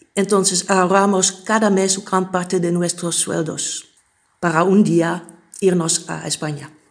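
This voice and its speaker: A woman speaks at a fairly slow pace in a monotone, flat intonation. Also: medium pitch for a woman. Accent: Dutch. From Netherlands. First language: Dutch (speaking Spanish). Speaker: migrant. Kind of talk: testimony.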